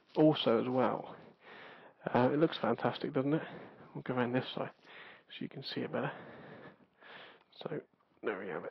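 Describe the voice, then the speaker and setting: A soft-spoken man with a British accent and medium pitch talks at a fairly quick pace, with ordinary pitch variation, big swings in loudness and long, frequent pauses. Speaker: motorcycle vlogger. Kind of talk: vlog, bike review. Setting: outdoors on a motorbike.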